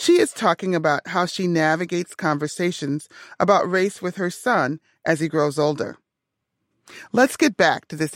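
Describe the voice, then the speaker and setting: A plain, everyday voice with an American accent uses lively intonation at a moderate pace, recorded very cleanly with a silent background and a dry, close sound with no echo. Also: woman. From Minnesota, US. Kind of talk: interview; scripted narration. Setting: radio studio.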